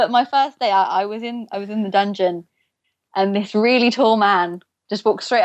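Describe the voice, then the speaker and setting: A woman with an English accent, fairly high in pitch, at a moderate pace with fairly even intonation over a quiet background. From England. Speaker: former theme park worker. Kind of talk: podcast interview.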